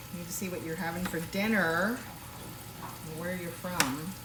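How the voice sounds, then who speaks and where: A woman with a fairly low pitch, a relaxed tone and fairly even intonation at a fairly slow pace, with audible room echo and noticeable background noise. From Washington State. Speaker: home cooking livestreamer. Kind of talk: casual live cooking stream. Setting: home kitchen, live stream. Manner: chatty, relaxed.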